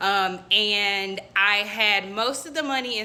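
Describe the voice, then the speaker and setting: A woman speaks at a medium pitch in a bright, sharp, animated tone, in a very clean recording with a silent background. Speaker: faith vlogger. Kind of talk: casual testimony. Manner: fast.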